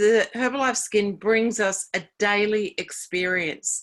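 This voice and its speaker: In a very clean recording with a silent background, a woman speaks at a fairly slow pace and medium pitch with ordinary pitch variation, in a plain, everyday voice. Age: 60s. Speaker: network marketing distributor. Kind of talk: sales pitch.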